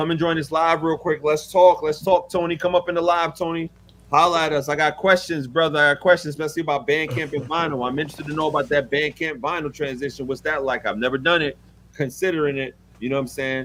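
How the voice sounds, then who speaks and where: Talking very fast, a man comes through with a strong New York accent. His pitch sits fairly high. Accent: thick New York. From New York City. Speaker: music producer. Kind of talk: casual chat. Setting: live stream. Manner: animated.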